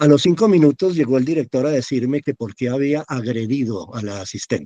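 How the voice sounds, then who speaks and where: This man has a dark, mellow tone and talks at a fairly quick pace. The sound is dry and close, with no echo. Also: medium pitch for a man, lively intonation. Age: 60s. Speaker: actor. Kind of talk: casual chat. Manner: animated.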